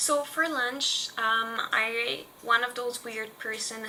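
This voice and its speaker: A woman with a Quebec accent speaks in a fairly high pitch with ordinary pitch variation. Noticeable background noise runs behind her. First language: French. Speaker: lifestyle vlogger. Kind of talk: casual tutorial vlog.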